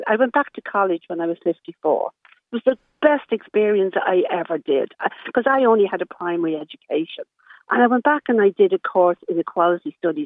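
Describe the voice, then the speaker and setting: A woman speaks with an Irish accent at a fairly quick pace. Her pitch is medium and her intonation is lively. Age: 70s. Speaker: caller, social care worker. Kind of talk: radio phone-in discussion. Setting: phone call.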